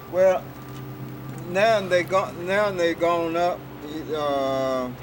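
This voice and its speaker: A man's high-pitched voice with an American accent, very slow in pace with ordinary pitch variation, over noticeable background noise. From Texas. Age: 60s. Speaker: recycler doing cleanup work. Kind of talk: interview testimony. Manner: halting, many repetitions.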